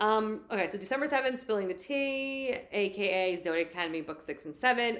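Here a woman speaks at a fairly quick pace. Her intonation is lively. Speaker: book podcast co-host. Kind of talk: casual chat.

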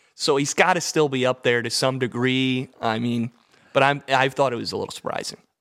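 The man's pace is fairly quick, and he has an ordinary speaking voice. His intonation stays fairly even at a medium pitch. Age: 20s. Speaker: sports podcast co-host. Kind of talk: casual chat.

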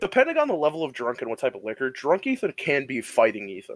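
A man's voice with an American accent and very wide pitch swings, dry and close with no echo. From US Midwest, Michigan. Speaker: podcast host. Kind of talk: casual chat. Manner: animated.

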